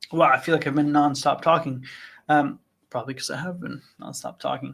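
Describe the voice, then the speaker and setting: Here is a plain, everyday voice from a man with a fairly high pitch. He talks at a fairly quick pace with fairly even intonation on a very clean recording with a silent background. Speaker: trading analyst hosting live Q&A stream. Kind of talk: live Q&A with chart analysis. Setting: livestream. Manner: conversational with fillers.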